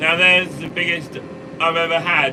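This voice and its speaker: Over noticeable background noise, a man uses a raised, projected voice. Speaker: farmer and vlogger. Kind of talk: live stream chat reading comments. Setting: in a tractor cab while spraying. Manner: mumbling.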